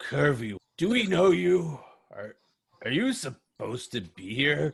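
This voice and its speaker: Putting on a character voice, a man delivers his lines at a fairly slow pace. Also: fairly high pitch for a man. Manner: relaxed, wary, questioning a newcomer.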